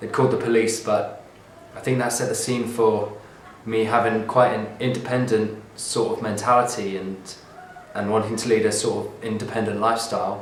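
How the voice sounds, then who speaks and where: A man's medium-pitched, monotone, flat voice at a moderate pace, with audible room echo and noticeable background noise. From southern England (Bognor Regis, West Sussex). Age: 20s. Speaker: artist. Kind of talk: reading aloud a transcript of his own life story. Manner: hesitant, with ums and uhs.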